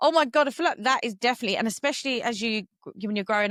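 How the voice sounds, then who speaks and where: In a Cockney accent, a woman talks with lively intonation, recorded very cleanly against a silent background with a dry, close sound and no echo. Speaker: podcast host and yoga teacher. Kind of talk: casual podcast conversation.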